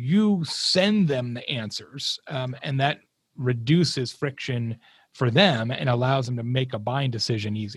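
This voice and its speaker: A man with a medium-pitched, somewhat breathy voice speaks at a fairly slow pace with lively intonation, in a very clean recording with a silent background. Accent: American. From Arizona, US Southwest. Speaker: marketing keynote speaker and author. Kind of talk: casual interview.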